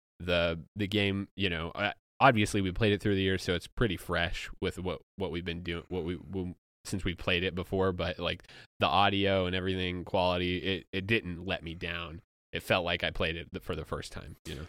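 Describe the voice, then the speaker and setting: At a moderate pace, a man with a very deep, low pitch speaks with fairly even intonation on a very clean recording with a silent background. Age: 30. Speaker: podcast host. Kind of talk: casual chat. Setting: studio.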